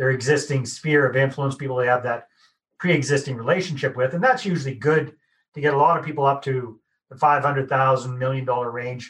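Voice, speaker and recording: In a Canadian accent and an ordinary speaking voice, a man talks at a fairly quick pace with medium pitch and fairly even intonation. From Canada. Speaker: podcast host. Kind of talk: podcast interview.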